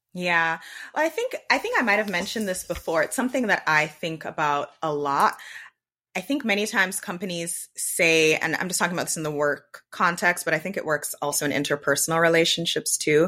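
In a very clean recording with a silent background, a woman with a bright, sharp tone and fairly low pitch speaks at a fairly quick pace. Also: ordinary pitch variation. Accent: slight Jamaican. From Jamaica. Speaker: podcast host. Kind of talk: casual chat.

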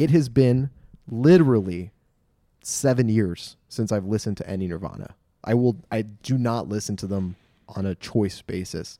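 With a Californian accent, a man speaks in a dark, mellow tone on a very clean recording with a silent background. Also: fairly low pitch for a man, moderate pace. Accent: General American (Californian). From Los Angeles, US. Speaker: podcast host. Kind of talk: casual chat. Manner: animated.

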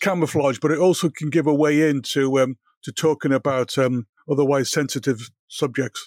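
A man with a Liverpool accent speaks at a moderate pace with ordinary pitch variation. The recording is very clean, dry and close, with no echo and a silent background. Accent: Scouse. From Liverpool, England. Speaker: cancer patient, consultant. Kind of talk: interview. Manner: halting, repeats words.

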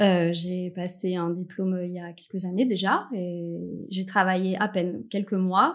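A woman with an unremarkable speaking voice and a medium pitch talks at a fairly slow pace with fairly even intonation. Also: big swings in loudness. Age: 30s. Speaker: cabinetmaker specializing in wood marquetry. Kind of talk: interview. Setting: studio.

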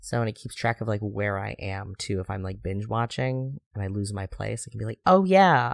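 A man speaks in an ordinary speaking voice, fairly low in pitch, at a moderate pace with lively intonation and hardly any pauses, the sound dry and close with no echo on a very clean recording with a silent background. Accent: American. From US Midwest. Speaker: podcast host. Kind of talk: casual chat.

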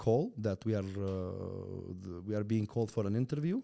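In a very clean recording with a silent background, a man speaks fairly quickly at a medium pitch, his tone dark and mellow and his pitch varying in an ordinary way. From Turkmenistan. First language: Russian. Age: 20s. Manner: energetic, animated.

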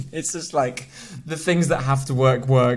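A man at a medium pitch, fairly quick pace and ordinary pitch variation, an unremarkable speaking voice. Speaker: podcast host. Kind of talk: casual chat.

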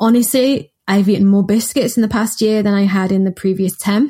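In a Mancunian accent, a woman with a fairly high pitch and a dark, mellow tone sounds somewhat breathy, with ordinary pitch variation. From Manchester, northern England. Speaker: nutritionist and co-author. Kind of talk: casual chat.

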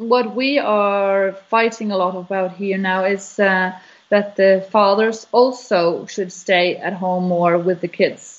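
A woman speaks very slowly with a Norwegian accent, at a medium pitch and with fairly even intonation. She barely pauses at all. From Norway. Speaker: business owner. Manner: halting.

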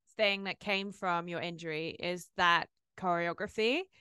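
A woman's bright, sharp tone in a British accent, dry and close with no echo, over a quiet background. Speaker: podcast host. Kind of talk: casual interview.

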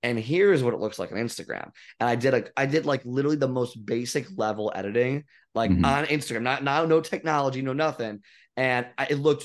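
A man at a very fast pace, medium in pitch with ordinary pitch variation, against a quiet background. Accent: American. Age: 30s. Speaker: fitness coach. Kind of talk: casual chat.

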